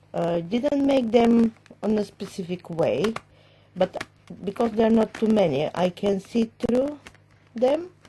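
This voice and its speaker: A woman with a non-native accent and very wide pitch swings. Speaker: crafter. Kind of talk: casual talk to camera.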